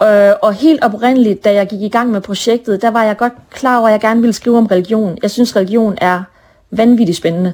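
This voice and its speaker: A woman speaks in a plain, everyday voice at fairly high pitch. Her intonation is fairly even and her pace fairly quick. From northern Jutland, Denmark (Brønderslev). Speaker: author. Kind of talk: interview.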